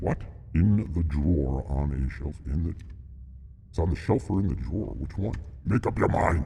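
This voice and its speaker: A man's put-on character voice at a very deep, low pitch, with a moderate pace, long, frequent pauses and clear background noise. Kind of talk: mock-solemn reaper persona. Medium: solo performance. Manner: formal, archaic phrasing mixed with casual asides.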